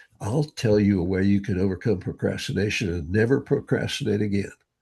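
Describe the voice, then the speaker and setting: This man has a fairly low-pitched, somewhat breathy voice and talks at a moderate pace. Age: 80s+. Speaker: brain training author and speaker. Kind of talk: interview conversation. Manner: animated.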